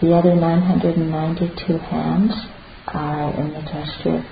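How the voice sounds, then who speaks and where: The voice has a gentle, calm tone over noticeable background noise. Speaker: meditation teacher. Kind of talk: guided meditation. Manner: slow, calm, soothing pace with long pauses; soft-spoken, gentle and reverent.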